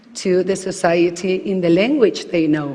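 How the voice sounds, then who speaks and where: A woman talks at a fairly slow pace with a Spanish accent in a medium pitch. Noticeable background noise can be heard. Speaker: researcher. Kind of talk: panel discussion.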